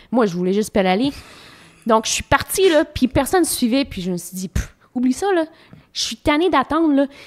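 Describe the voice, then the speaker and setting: A woman's high voice moves at a fairly quick pace with very wide pitch swings and long, frequent pauses. The recording is very clean with a silent background and a dry, close sound with no echo. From Ontario, Canada. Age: 30s. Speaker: professional cyclist. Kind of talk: casual interview chat.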